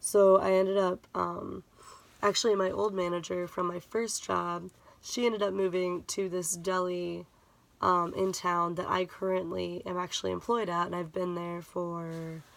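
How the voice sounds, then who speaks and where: A woman's fairly low voice with monotone, flat intonation at a moderate pace. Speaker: vlogger. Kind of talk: casual vlog update. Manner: speaking lower than usual; hesitant, many fillers.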